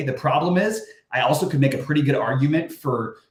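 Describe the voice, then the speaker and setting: There is audible room echo around this voice. A man talks with ordinary pitch variation. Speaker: fantasy sports analyst. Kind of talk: live stream talk. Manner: fast; casual, filler-heavy.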